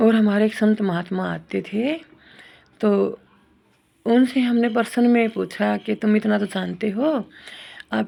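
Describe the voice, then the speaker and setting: A woman with a fairly high voice and a dark, mellow tone speaks with fairly even intonation. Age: 60s. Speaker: spiritual devotee. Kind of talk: devotional testimony.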